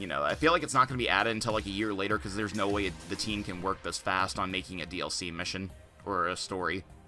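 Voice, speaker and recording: A man speaks very fast at a fairly low pitch with ordinary pitch variation. Music plays in the background. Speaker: gaming YouTuber. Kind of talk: casual talk to camera. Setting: home USB microphone. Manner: hesitant, stuttering, many filler words.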